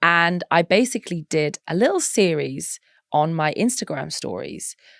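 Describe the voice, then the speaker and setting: A woman with a Norfolk accent, fairly low-pitched with vocal fry, lively intonation and a moderate pace, in a very clean recording with a silent background and a dry, close sound with no echo. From eastern England, Norwich, Norfolk. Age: 30s. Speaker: model and mental health advocate. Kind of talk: podcast interview.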